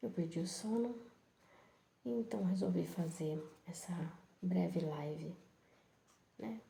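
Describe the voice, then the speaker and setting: A soft-spoken woman at a very slow pace, dark and mellow in tone, somewhat breathy, with audible room echo. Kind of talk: bible reflection live.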